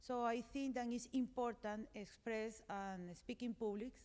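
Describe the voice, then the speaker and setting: A woman with a fairly high pitch, a moderate pace and fairly even intonation. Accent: Colombian. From Colombia. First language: Spanish. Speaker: conference panelist. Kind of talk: panel discussion. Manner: halting.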